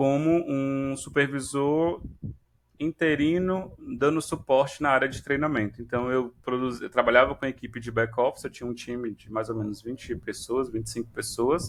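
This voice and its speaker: At a medium pitch and moderate pace, a man speaks in an unremarkable speaking voice with ordinary pitch variation. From Brazil, Ceará (Fortaleza). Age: 30s. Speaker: instructional designer. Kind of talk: podcast interview. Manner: conversational.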